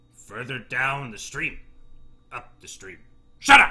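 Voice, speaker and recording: Using a put-on character voice, a man speaks fairly slowly at a medium pitch. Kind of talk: broken, simple speech. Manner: gruff, demanding.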